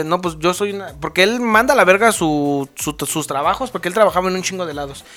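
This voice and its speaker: A man speaks very fast at a high pitch, with a bright, sharp tone, ordinary pitch variation and hardly any pauses. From San Luis Potosí, Mexico. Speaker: podcast co-host. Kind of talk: casual chat.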